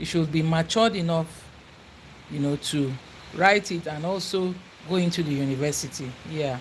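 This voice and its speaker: A woman with a Nigerian accent, fairly low in pitch with ordinary pitch variation, at a moderate pace with long, frequent pauses. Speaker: YouTuber. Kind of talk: casual livestream chat.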